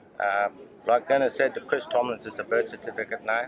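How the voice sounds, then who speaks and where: Noticeable background noise runs beneath a man speaking at a fairly high pitch. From Central Australia, Alice Springs. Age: 50s. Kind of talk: storytelling and advocacy talk.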